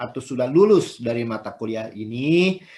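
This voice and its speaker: A man speaks at a medium pitch with a Sundanese accent. His pitch varies in an ordinary way. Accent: Sundanese accent slips out. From West Java (Sundanese). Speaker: university lecturer. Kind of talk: lecture. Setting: video call. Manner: conversational, repetitive fillers.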